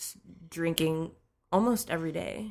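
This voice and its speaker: In an unremarkable speaking voice, a woman speaks at a fairly slow pace and a fairly low pitch on a very clean recording with a silent background. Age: 30s. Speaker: social media and content strategist. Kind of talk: casual chat.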